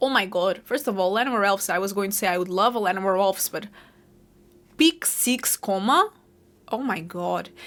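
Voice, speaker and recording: Speaking at a fairly quick pace with a Portuguese accent, a woman with a medium pitch and ordinary pitch variation leaves long, frequent pauses. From Portugal. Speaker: gaming streamer. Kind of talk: gameplay commentary. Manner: casual, thinking aloud.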